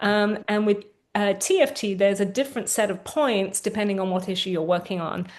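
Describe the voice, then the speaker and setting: A London accent over a quiet background, with ordinary pitch variation. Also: woman, medium pitch for a woman. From England, London. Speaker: therapist. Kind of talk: guided tapping session. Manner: slow, phrase-by-phrase prompting.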